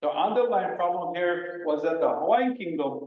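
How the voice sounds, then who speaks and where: A man's high-pitched voice. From Hawaii. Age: 60s. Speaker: community member giving public testimony. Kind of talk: public testimony. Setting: public meeting. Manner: halting.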